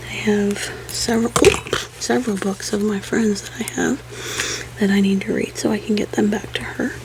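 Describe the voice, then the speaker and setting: A soft-spoken woman talks at a moderate pace. Background noise is noticeable. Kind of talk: ASMR soft-spoken casual talk to camera. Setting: home office.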